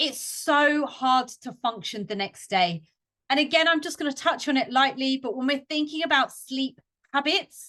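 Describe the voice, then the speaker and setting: A woman projects a raised voice, high in pitch and bright and sharp in tone, against a quiet background. Her intonation is lively and her pace fairly slow. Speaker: fitness coach and podcast host. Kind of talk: educational podcast talk. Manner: animated.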